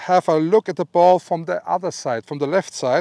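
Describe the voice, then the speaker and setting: A man with an Austrian accent speaks at a high pitch and a moderate pace, with ordinary pitch variation. The background is quiet and the sound is dry with no echo. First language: German. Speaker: golf instructor. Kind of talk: instructional talk to camera. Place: open country. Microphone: lapel.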